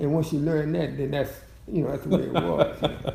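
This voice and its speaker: A man talking at a very fast pace, with noticeable background noise. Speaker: long-married great-grandfather figure. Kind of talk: interview answer.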